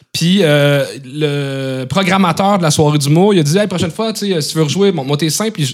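This is a normal speaking voice from a man with fairly high pitch. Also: ordinary pitch variation, moderate pace. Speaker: comedian. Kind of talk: casual chat.

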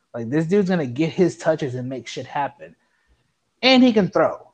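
The man speaks in an animated tone. His pitch is fairly high. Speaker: sports podcast co-host. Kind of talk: casual chat.

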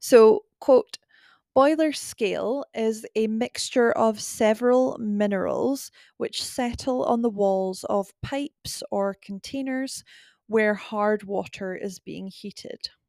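In a Scottish accent, a dark, mellow voice speaks at a very slow pace with big swings in loudness, on a dry, close, very clean recording with no echo and a silent background. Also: woman, fairly high pitch for a woman, ordinary pitch variation. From UK. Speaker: podcast host. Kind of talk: solo podcast narration, relaxed. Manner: casual, chatty, laughs often.

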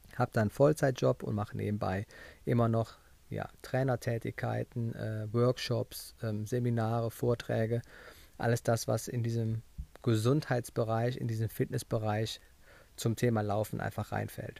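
A man delivers his words at a moderate pace and medium pitch, monotone and flat, in a dry, close sound with no echo. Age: 30s. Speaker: podcast host, running coach. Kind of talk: solo podcast monologue. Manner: casual, conversational.

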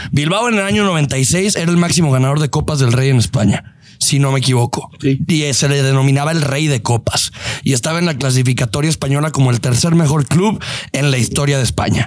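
A man at a fairly quick pace and fairly high pitch, with ordinary pitch variation and very even loudness, over noticeable background noise. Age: 20s. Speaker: podcast host, football fan. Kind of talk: casual chat.

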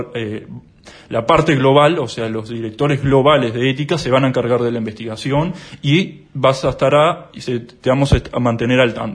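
Fairly quick, somewhat breathy speech from a man, with ordinary pitch variation. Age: 20s. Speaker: accountant and whistleblower. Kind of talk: interview. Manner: hesitant, many fillers.

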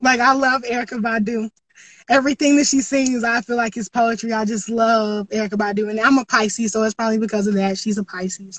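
Speaking very fast, a woman has a fairly high, somewhat breathy voice. Her intonation stays fairly even. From US South, Greenville, South Carolina. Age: 20s. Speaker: spoken word poet. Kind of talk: casual interview chat. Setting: online open mic / podcast.

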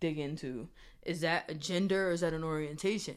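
On a very clean recording with a silent background, a woman with a plain, everyday voice speaks in an American accent at a fairly low pitch, moderate pace and ordinary pitch variation. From Springfield, Massachusetts. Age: 30s. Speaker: podcast host. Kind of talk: casual chat.

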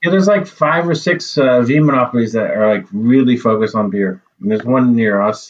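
A man with an American accent speaks in an unremarkable speaking voice at medium pitch, with lively intonation and very even loudness. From United States. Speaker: brewery co-owner. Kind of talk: casual chat.

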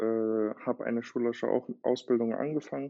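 The man talks at a moderate pace and a medium pitch. His intonation is fairly even. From Germany, Berlin. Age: 20s. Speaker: watchmaker. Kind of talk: interview conversation.

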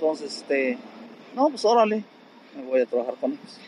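A man is talking. Noticeable background noise runs underneath. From Querétaro, Mexico (from age 9; born in Guanajuato sierra). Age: 60s. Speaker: street vendor and bricklayer. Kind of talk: casual interview. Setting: outdoors at his street stall.

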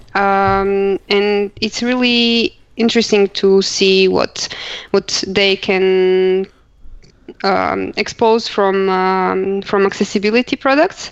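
Very slow speech from a woman with a Croatian accent, medium in pitch and fairly even in intonation. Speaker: accessibility professional, blind co-host. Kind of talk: casual chat.

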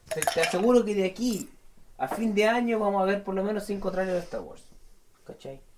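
A man speaks at a fairly quick pace in a high voice with ordinary pitch variation. His loudness swings a lot, and there is noticeable background noise. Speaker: film podcast co-host. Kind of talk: casual chat. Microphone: sounds bad on the mic.

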